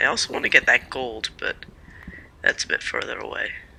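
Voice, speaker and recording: A man whispers at a moderate pace. Music plays in the background. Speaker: gaming youtuber. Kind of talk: gameplay commentary. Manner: casual, hesitant with fillers.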